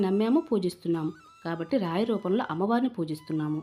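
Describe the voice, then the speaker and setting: Ordinary pitch variation from a woman, medium in pitch. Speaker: devotional YouTuber. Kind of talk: tutorial. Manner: subdued, not fast or energetic.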